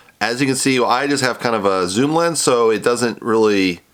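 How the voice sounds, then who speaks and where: A man's medium-pitched voice is heard with noticeable background noise around it. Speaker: artist and reaction youtuber. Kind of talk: reaction commentary. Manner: fast.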